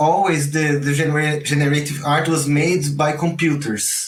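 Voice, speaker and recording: This man has a fairly high, somewhat breathy voice and speaks with a Portuguese accent. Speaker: generative art teacher. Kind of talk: online class. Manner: halting, repeats words.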